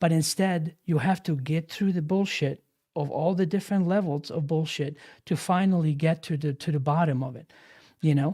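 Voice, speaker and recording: Over a very clean recording with a silent background, a man's fairly high voice has a dark, mellow tone and fairly even intonation. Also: moderate pace. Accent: Bosnian. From Bosnia and Germany. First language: Bosnian. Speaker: live stream host. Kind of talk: casual chat.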